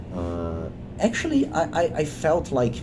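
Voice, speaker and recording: A man's voice carries audible room echo. There is noticeable background noise too. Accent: Portuguese. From Brazil. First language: Portuguese. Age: 30s. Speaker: video creator. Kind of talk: unscripted monologue. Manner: halting, many fillers and restarts.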